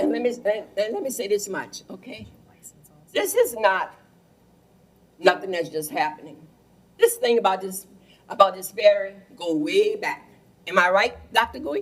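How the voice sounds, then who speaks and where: A woman talks at a moderate pace in a south Louisiana accent. Her loudness swings a lot. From Louisiana, Plaquemines Parish. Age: 80s+. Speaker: resident speaking at public meeting. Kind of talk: public comment at council meeting. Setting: council meeting room with PA mic. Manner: halting.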